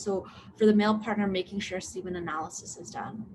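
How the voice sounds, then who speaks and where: At a fairly quick pace, a woman speaks in a somewhat breathy, medium-pitched voice with ordinary pitch variation. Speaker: medical doctor. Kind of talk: live Q&A. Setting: live online video stream. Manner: fast; hesitant, many fillers.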